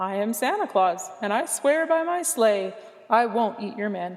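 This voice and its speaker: A woman speaks in a put-on character voice. Her pitch sits fairly high. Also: moderate pace. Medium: read story.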